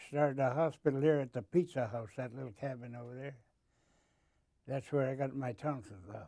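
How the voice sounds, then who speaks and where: A man's medium-pitched voice with a dark, mellow tone at a fairly quick pace, on a very clean recording with a silent background. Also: ordinary pitch variation. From Alaska (Kotzebue). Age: 80s+. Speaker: retired bush pilot. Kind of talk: interview.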